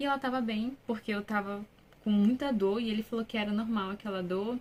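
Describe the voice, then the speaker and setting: A woman's fairly high, unremarkable speaking voice, fairly quick, with fairly even intonation. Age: 20s. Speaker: vlogger, new mother. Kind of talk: personal testimony, casual vlog. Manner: casual, conversational.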